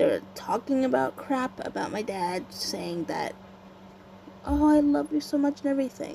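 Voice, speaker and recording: Moderately paced speech from a woman amid noticeable background noise. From Canada. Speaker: YouTuber. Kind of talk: casual vlog monologue. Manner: halting, hesitant.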